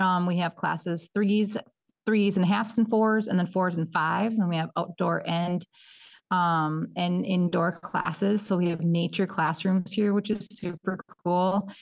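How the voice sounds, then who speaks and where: A woman's medium-pitched voice, fairly slow, with very even loudness and fairly even intonation. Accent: Upper Midwest. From northern Minnesota, Bemidji. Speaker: early childhood education coordinator. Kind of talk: casual interview chat.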